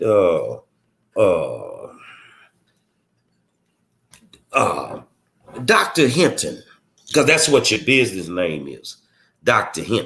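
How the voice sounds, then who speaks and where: Putting on a raspy character voice in a Texas accent, a man speaks at a very slow pace with long, frequent pauses. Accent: Texas drawl. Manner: exaggerated, slow.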